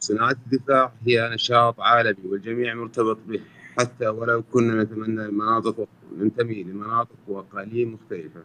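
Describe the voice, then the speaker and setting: A man with an Arabic accent speaks at a fairly slow pace in a medium pitch, his bright, sharp tone and monotone, flat intonation heard dry and close with no echo. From Saudi Arabia. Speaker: business executive. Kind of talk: formal conference speech.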